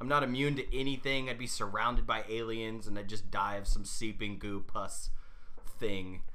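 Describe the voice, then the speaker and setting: A man talks at a moderate pace with fairly even intonation, and the room echo is audible. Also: medium pitch for a man. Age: 30s. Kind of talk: casual chat.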